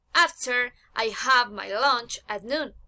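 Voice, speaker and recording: High-pitched woman's voice with a bright, sharp tone, a Spanish accent and ordinary pitch variation. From Colombia, Manizales, Caldas. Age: 20s. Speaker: psychology student. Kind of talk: self-introduction for English class. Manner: halting.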